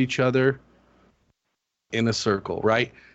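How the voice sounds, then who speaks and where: A man with a medium pitch speaks at a moderate pace in a normal speaking voice. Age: 40s. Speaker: fantasy sports player. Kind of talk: casual chat. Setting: phone call.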